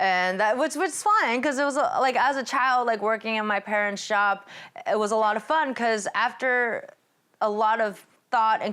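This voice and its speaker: In a very clean recording with a silent background, a woman with a Californian accent talks at a fairly quick pace in a bright, sharp tone, her pitch swinging very widely. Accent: Californian American English. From California, Sacramento. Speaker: stand-up comedian. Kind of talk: stand-up. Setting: performing in someone's home with small audience.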